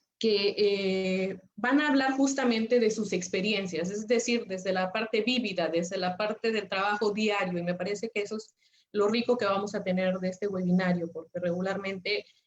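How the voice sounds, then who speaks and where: With a Mexican accent, the speaker talks with fairly even intonation and hardly any pauses. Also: woman, medium pitch for a woman, moderate pace. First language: Nahuatl (speaking Spanish). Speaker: lawyer and webinar speaker. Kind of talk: webinar presentation. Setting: online webinar. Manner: hesitant, many filler sounds.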